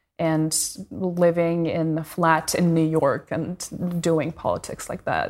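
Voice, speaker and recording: In a very clean recording with a silent background, a woman with a Russian accent speaks very slowly at a fairly low pitch, her intonation fairly even. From Russia, Moscow. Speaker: daughter of a jailed opposition leader. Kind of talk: interview.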